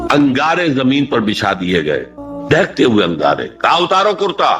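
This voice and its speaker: Music plays in the background as a man speaks. His loudness stays very even throughout. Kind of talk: Islamic sermon (bayan) lecture. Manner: earnest, preacherly, emphatic.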